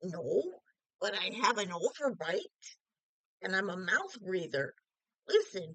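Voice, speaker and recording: This is a put-on character voice at a middle pitch. Long pauses come often. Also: fairly slow pace. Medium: read story.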